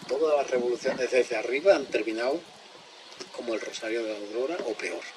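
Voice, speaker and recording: Medium-pitched male speech, fairly quick, ordinary in pitch variation, amid noticeable background noise. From Extremadura, Spain. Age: 70s. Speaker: speaker on ecology and collapse. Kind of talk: public talk.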